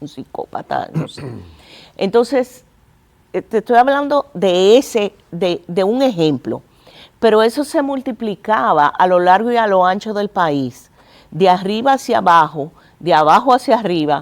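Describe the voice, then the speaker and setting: A woman with a medium-pitched voice speaks at a fairly slow pace. Her pitch swings very widely. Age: 50s. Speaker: museum director. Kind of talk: TV interview.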